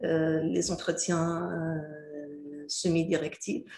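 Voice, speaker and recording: A woman with a fairly low, somewhat breathy voice is heard with audible room echo. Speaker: university lecturer. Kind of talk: recorded lecture. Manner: halting, many filler hesitations.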